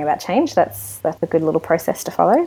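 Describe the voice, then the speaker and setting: A woman speaks with an Australian accent in a fairly low voice with a dark, mellow tone. The recording is very clean, with a silent background. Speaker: podcast co-host. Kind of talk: casual chat. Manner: animated.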